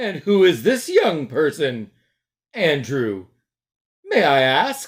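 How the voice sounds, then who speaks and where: Putting on a character voice, a man speaks very slowly at a fairly high pitch with very wide pitch swings and long, frequent pauses, in a very clean recording with a silent background. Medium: read story. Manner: icy, prim.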